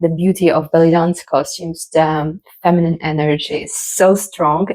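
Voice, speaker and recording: With a non-native accent, a woman speaks at a fairly low pitch and fairly slow pace in a flat, monotone intonation. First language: not English. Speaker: belly dancer. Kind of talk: casual talk to camera.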